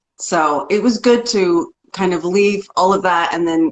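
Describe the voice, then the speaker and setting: A woman with an American accent, a plain, everyday voice, ordinary pitch variation and a moderate pace. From rural Oklahoma, US. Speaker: singer-songwriter. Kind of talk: interview. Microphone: clear connection.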